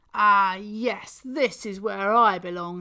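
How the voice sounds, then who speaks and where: A woman's rumbling put-on character voice at medium pitch, very slow in pace, with ordinary pitch variation. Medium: read story. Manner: grumbling, self-pitying.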